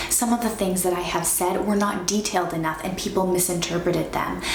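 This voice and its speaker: A woman speaks over noticeable background noise. Her voice carries audible room echo. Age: 20s. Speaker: lifestyle vlogger. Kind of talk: motivational advice talk.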